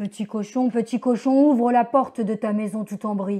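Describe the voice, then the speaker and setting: A woman puts on a gruff, menacing character voice at a fairly high pitch and a moderate pace. The recording is very clean, with a silent background. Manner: menacing, coaxing.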